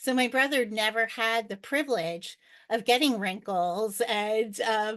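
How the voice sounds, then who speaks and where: In a quiet background, a woman talks in an ordinary speaking voice, fairly high in pitch with ordinary pitch variation. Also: fairly slow pace. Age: 60s. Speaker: world traveler. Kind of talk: podcast interview.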